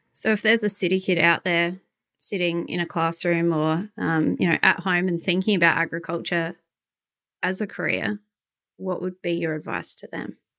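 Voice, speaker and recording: A woman with an Australian accent speaks in a bright, sharp tone. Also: fairly low pitch for a woman, ordinary pitch variation, moderate pace, very clean recording, silent background. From Adelaide, Australia. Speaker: podcast host. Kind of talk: casual interview chat.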